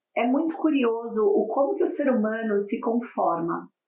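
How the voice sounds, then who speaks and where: Speaking with a non-native accent, a woman talks at a fairly slow pace in a fairly high pitch with lively intonation. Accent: foreign accent in Portuguese. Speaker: corporate wellbeing speaker. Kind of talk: podcast interview.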